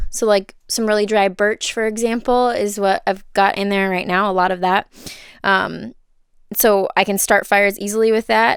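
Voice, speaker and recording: In a Minnesotan accent, a woman talks at a moderate pace. Her medium pitch has fairly even intonation. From Minnesota, USA. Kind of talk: casual home tour to camera. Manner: chatty, nervous, filler-heavy.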